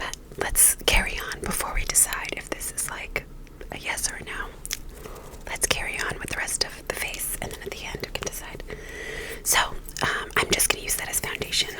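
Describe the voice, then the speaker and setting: A moderately paced whisper broken by long, frequent pauses, over noticeable background noise. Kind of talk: ASMR whispered get-ready-with-me ramble. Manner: whispered, soft-spoken.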